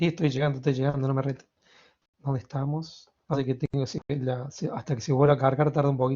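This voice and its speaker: A man talks at a very fast pace with a fairly high pitch and a somewhat breathy voice. His intonation is monotone and flat. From Argentina, Córdoba. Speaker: university lecturer. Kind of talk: lecture.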